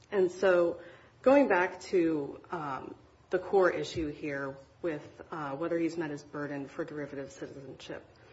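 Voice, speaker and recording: A woman in a plain, everyday voice speaks fairly slowly at a fairly low pitch, with ordinary pitch variation and big swings in loudness. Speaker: government lawyer. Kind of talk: appellate oral argument. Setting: courtroom.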